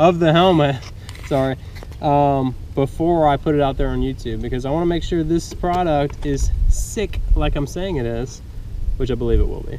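At a moderate pace, a man speaks with ordinary pitch variation in a dry sound with no echo and light background noise. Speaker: motorcycle vlogger. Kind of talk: casual vlog chat. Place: open country. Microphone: phone near.

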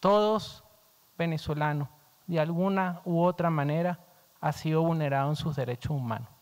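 A man's fairly high-pitched voice at a moderate pace, with ordinary pitch variation and long, frequent pauses. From Venezuela. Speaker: diplomat. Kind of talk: formal statement at hearing. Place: hall. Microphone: podium.

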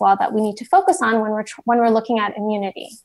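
Against quiet surroundings, a woman is speaking. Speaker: presenter. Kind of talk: lecture. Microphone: video call.

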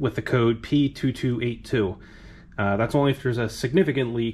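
Fairly even intonation from a male speaker. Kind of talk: tutorial. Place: garage. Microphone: phone near.

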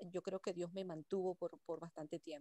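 Recorded dry with no echo against a quiet background, a woman speaks at medium pitch in a dark, mellow tone. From Venezuela. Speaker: workshop participant. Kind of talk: personal testimony. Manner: halting. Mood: reflective, grateful. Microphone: video call.

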